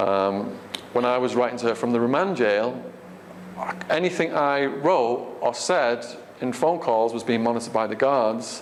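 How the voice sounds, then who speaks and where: A man with an English accent is heard with audible room echo and noticeable background noise. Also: medium pitch for a man, ordinary pitch variation, moderate pace. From England. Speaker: author and ex-prisoner giving a talk. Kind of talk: audience Q&A. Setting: stage with audience. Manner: halting, many fillers.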